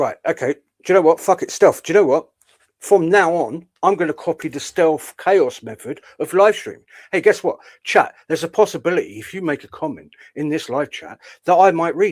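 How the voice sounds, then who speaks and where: Fairly quick speech with a southern English accent and big swings in loudness, dry and close with no echo, on a very clean recording with a silent background. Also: man, high pitch for a man, ordinary pitch variation. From southern England. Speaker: streamer, commentator. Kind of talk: live stream commentary.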